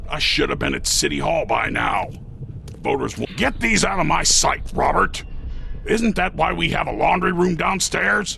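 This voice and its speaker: Using a put-on character voice, a man talks at a moderate pace over clear background noise. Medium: video game. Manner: brusque, commanding.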